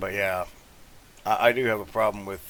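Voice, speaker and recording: There is noticeable background noise as a man speaks with an American accent. He has a fairly low pitch and fairly even intonation. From US South. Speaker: gaming YouTuber. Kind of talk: gameplay commentary, casual chat. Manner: halting, many fillers.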